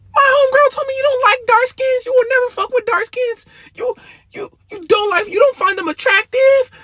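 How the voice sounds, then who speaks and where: This man puts on a character voice. His pitch is extremely high and his pace fairly quick. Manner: accusatory.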